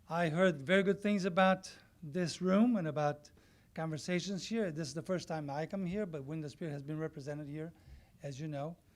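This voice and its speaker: Using a Portuguese accent, a man speaks with a fairly high pitch and ordinary pitch variation. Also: fairly quick pace. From Brazil. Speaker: community organization member. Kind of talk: public comment speech.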